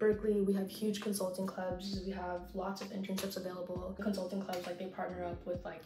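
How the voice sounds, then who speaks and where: Soft-spoken and monotone, with flat intonation, a woman talks at a fairly quick pace and medium pitch amid noticeable background noise and audible room echo. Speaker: college student and YouTuber. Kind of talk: casual chat. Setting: apartment with roommates. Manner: soft-spoken, talking quietly. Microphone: bad audio quality, quiet.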